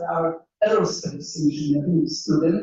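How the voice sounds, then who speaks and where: At a very slow pace, a somewhat breathy woman with a Polish accent speaks with lively intonation. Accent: Polish accent, still present. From Poland. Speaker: engineering professor. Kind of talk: panel talk.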